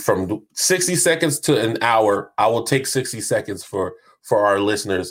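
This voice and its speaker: A man with a normal speaking voice, an American accent and a medium pitch talks at a fairly slow pace with lively intonation in a very clean recording with a silent background. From US South, North Charleston, South Carolina. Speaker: podcast co-host. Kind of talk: casual chat.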